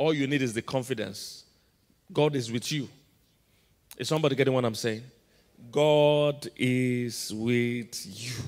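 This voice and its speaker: The background is quiet as a man speaks in an animated tone. His pitch varies in an ordinary way. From Nigeria. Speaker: pastor. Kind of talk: sermon. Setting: church. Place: hall. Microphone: handheld.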